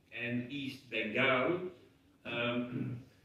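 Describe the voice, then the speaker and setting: A man's medium pitch with ordinary pitch variation, in audible room echo. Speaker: human rights advocate. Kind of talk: conference speech. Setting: parliament conference.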